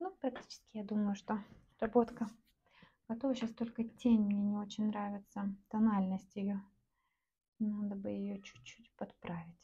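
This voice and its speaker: Fairly slow, relaxed speech from a woman, medium in pitch and somewhat breathy, with a dark, mellow tone, monotone, flat intonation and long, frequent pauses. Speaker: artist selling paintings online. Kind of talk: casual vlog narration while painting. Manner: relaxed, with hesitations and filler words.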